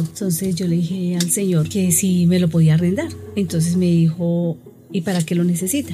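A woman talks at a medium pitch as noticeable background noise carries on behind her. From Bogotá, Colombia. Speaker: shopkeeper. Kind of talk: interview.

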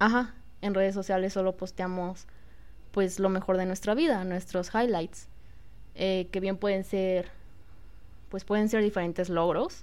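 A woman at a fairly slow pace, with fairly even intonation and long, frequent pauses. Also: medium pitch for a woman. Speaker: podcast co-host. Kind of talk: casual chat.

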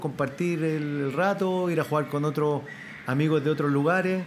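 Using a plain, everyday voice, a man speaks at a fairly slow pace with fairly even intonation. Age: 40s. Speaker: retired footballer and players' union president. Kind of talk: interview with children before live audience. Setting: school event with live audience.

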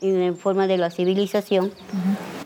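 Fairly slow speech from a woman at a medium pitch, amid noticeable background noise. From Venezuela, Gran Sabana. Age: 50s. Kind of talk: interview. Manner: halting.

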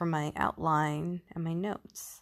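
A woman speaks very slowly with a very deep, low pitch and fairly even intonation on a very clean recording with a silent background. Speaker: podcast host. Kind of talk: podcast monologue. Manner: halting, with long pauses; stuttering.

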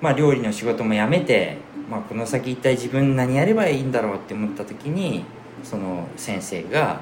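A man at medium pitch and moderate pace with lively intonation, amid noticeable background noise and audible room echo. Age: 50s. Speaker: seed specialist and former cook. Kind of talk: casual chat.

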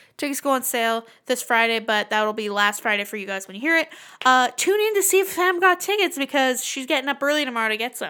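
In a very clean recording with a silent background, a woman speaks very fast in a raised, projected voice that is high-pitched, bright and sharp, animated, and full of very wide pitch swings. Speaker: podcast co-host. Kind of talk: casual banter. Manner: animated, joking, profane.

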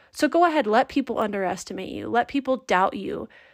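In a very clean recording with a silent background, a woman speaks with a warm, upbeat tone and ordinary pitch variation. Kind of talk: pep talk. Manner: warm, upbeat, animated.

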